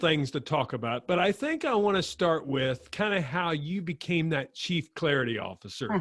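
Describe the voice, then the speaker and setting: With lively intonation and a moderate pace, a man speaks in a plain, everyday voice at a fairly high pitch. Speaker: podcast host. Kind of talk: podcast interview.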